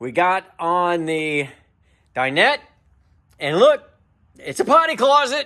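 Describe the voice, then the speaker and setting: With a bright, sharp tone, a man projects a raised voice at a fairly slow pace. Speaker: camper restoration video host. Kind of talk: casual workshop vlog narration. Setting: workshop during a livestream.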